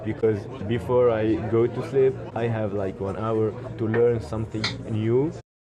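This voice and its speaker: Speaking with an Arabic accent at a fairly slow pace, a man uses medium pitch and fairly even intonation amid audible room echo. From Tunisia, Kerkennah islands. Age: 20s. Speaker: social entrepreneur. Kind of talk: interview. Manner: halting.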